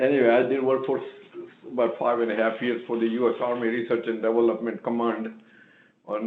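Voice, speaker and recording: A man speaks at a fairly quick pace with fairly even intonation, with audible room echo around him. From India. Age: 80s+. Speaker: retired engineer, business owner. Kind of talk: public meeting testimony. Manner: halting.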